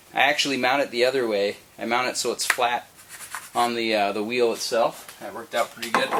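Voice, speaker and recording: Noticeable background noise runs under a voice in a Minnesotan accent moving at a fairly quick pace. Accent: Minnesota. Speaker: Jeep owner. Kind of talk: casual how-to talk to camera.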